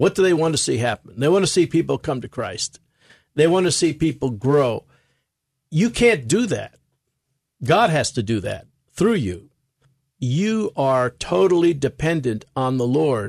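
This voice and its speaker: A man's fairly high voice with a New York accent, very wide pitch swings, a fairly slow pace and long, frequent pauses, recorded dry and close with no echo against a quiet background. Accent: New York American. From New York City. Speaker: preacher and ministry president. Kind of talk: radio interview.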